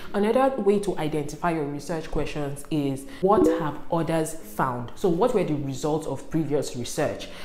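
With lively intonation and a very deep, low pitch, a woman talks at a moderate pace with hardly any pauses, over light background noise and audible room echo. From northern Nigeria, Kaduna State. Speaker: YouTuber, student advice; YouTuber. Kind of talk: tutorial. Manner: animated. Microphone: lapel.

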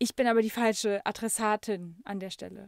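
In a very clean recording with a silent background and a dry, close sound with no echo, a woman speaks in a plain, everyday voice, fairly high in pitch, with fairly even intonation. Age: 30s. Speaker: podcast host and music coach. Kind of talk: casual solo podcast monologue. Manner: many fillers, laughs often.

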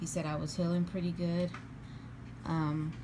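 A woman with a very deep, low pitch and fairly even intonation speaks against noticeable background noise. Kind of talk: casual vlog chat. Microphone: phone near.

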